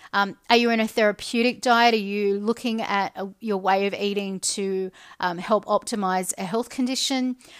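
Over a very clean recording and silent background, a speaker with an Australian accent talks at a moderate pace with fairly even intonation and hardly any pauses. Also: woman, medium pitch for a woman. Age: 40s. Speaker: podcast host. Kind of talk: solo monologue podcast. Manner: flat.

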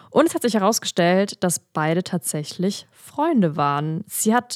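With a dry, close sound and no echo, a woman speaks in an animated tone at a moderate pace. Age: 20s. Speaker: instagram creator and podcaster. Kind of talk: casual chat. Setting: video call.

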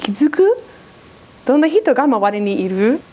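Over noticeable background noise, a woman with a high pitch speaks at a moderate pace, her voice making very wide pitch swings. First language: English (speaking Japanese). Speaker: preacher. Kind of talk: sermon.

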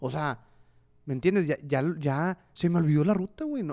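Very clean recording of a man with a fairly high pitch and ordinary pitch variation, silent in the background, dry and close with no echo. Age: 30s. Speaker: podcast co-host. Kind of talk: casual chat. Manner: animated.

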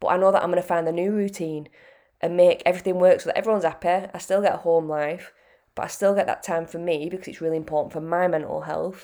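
A British-accented woman's voice, fairly low in pitch with a dark, mellow tone, monotone and flat at a very fast pace, on a very clean recording with a silent background. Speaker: fitness coach podcaster. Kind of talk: pep talk, casual motivational monologue. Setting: solo podcast. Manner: earnest, chatty, direct; conversational, with fillers.

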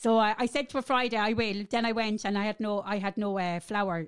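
The recording is very clean, with a silent background. A woman with an Irish Midlands accent speaks at a medium pitch and with fairly even intonation. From Ireland, Athlone. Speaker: podcast guest trying a diet plan. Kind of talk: casual chat. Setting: studio.

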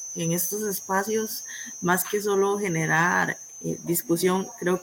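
Fairly low in pitch and fairly even in intonation, a woman speaks over noticeable background noise. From Costa Rica, Limón province. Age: 20s. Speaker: student. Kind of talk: panel discussion.

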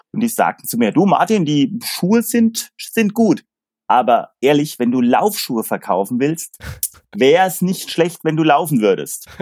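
Recorded with a dry, close sound and no echo, a man talks at a moderate pace, his pitch swinging very widely. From Palatinate, Germany (near Pirmasens). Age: 50s. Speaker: sports goods sales agent. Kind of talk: casual chat.

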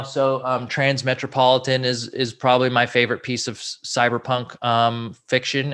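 Against a quiet background, a man speaks with an American accent. His pitch is medium, and his tone is bright and sharp. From Southern California. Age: 30s. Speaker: comedian and YouTuber. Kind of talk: casual chat.

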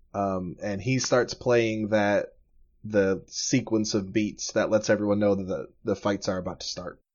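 The intonation is fairly even. The speaker goes at a fairly slow pace. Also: man, fairly low pitch for a man. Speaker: game master running a tabletop roleplaying podcast. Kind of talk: casual tabletop roleplaying session, narrated by the game master. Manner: booming, showman-like, building hype with dramatic flair.

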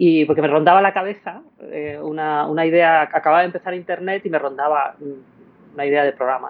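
Using a plain, everyday voice, a woman with a fairly low pitch and ordinary pitch variation talks at a fairly quick pace. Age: 50s. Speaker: television producer and director. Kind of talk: casual interview conversation.

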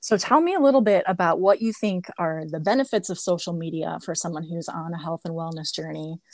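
A woman has an ordinary speaking voice, pitched fairly low with ordinary pitch variation. She barely pauses, and her loudness swings widely. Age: 40s. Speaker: podcast host. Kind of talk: casual interview chat; scripted intro narration.

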